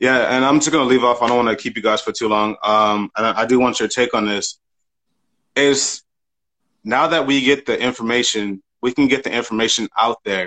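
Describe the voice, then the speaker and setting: Medium-pitched man at a moderate pace, bright and sharp in tone, with fairly even intonation and a dry, close sound with no echo. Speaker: student caller. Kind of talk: call-in conversation.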